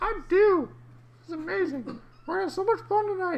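A put-on character voice, squeaky and extremely high, speaks at a moderate pace in a cheerful, excited tone.

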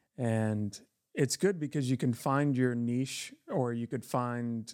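A man with a plain, everyday voice speaks fairly slowly at medium pitch with ordinary pitch variation, in a dry, close sound with no echo on a very clean recording with a silent background. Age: 30s. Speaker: tattoo artist. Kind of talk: casual chat.

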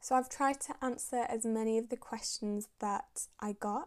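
In a Manchester accent, a woman speaks at a fairly slow pace with fairly even intonation and a fairly high pitch, in a very clean recording against a silent background. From northern England, Manchester. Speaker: dental student and podcast host. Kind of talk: casual monologue.

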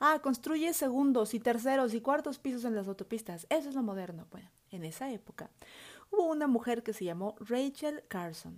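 A woman's high, animated voice at a moderate pace, with lively intonation and big swings in loudness. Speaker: podcast host. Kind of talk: solo educational podcast monologue.

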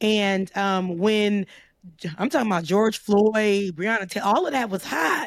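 Her voice is a plain, everyday voice, medium in pitch, as a woman with an American accent speaks at a fairly slow pace with ordinary pitch variation. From US South, Florida. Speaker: commentator. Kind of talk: casual chat.

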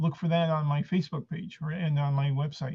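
The voice of a man comes across as somewhat breathy. He talks at a moderate speed. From Argentina, moved to San Francisco at six. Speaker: stand-up comedian. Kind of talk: casual interview. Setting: video call. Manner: halting, many fillers and repetitions.

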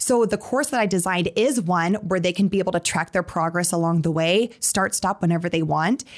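Recorded very cleanly with a silent background, a woman with an Upper Midwest accent speaks in an animated tone with ordinary pitch variation. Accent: Upper Midwest American. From South Dakota (Sioux Falls). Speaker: financial literacy entrepreneur. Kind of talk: interview.

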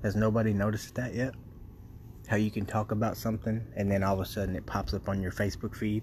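The delivery is very fast and somewhat breathy. Its intonation is monotone and flat. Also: man, fairly low pitch for a man. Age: 20s. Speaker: podcast host. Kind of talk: casual monologue. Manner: laughs often.

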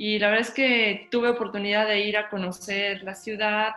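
At a moderate pace, a woman speaks in a medium pitch with fairly even intonation, and noticeable background noise can be heard. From Mexico. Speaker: concert pianist. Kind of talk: casual chat.

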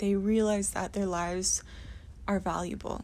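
In a very clean recording with a silent background, a woman with a Canadian accent speaks fairly slowly at a medium pitch, her tone dark and mellow, somewhat breathy and monotone. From rural Ontario, Canada. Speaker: podcast host. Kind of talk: personal monologue.

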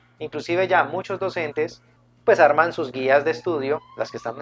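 A man talks in an ordinary speaking voice with ordinary pitch variation. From Colombia, Cali. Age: 40s. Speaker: math teacher and YouTube educator. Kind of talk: radio interview.

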